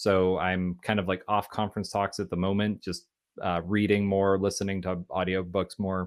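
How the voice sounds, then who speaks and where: A man with an unremarkable speaking voice talks at a fairly quick pace in a fairly low pitch, on a very clean recording with a silent background. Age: 30s. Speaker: engineering manager. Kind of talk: casual interview.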